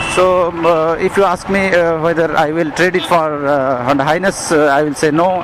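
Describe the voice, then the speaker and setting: A man talks at a moderate pace with hardly any pauses, in a high pitch and fairly even intonation. His loudness stays very even over noticeable background noise. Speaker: motorcycle reviewer. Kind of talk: ride review vlog. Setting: riding a motorcycle outdoors. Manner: halting, many fillers.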